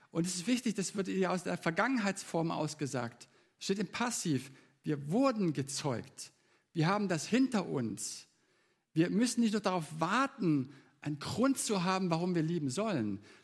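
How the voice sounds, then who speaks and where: Pitched high and swinging very widely, a man's voice moves at a moderate pace in a very clean recording with a silent background. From Baden-Württemberg, Germany (Leonberg). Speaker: preacher. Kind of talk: sermon.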